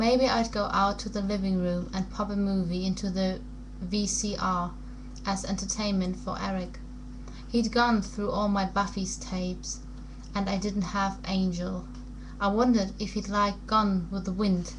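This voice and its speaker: Noticeable background noise fills the clip. A woman speaks through it at a moderate pace. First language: not English. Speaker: amateur book reader. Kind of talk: audiobook-style reading of a novel excerpt.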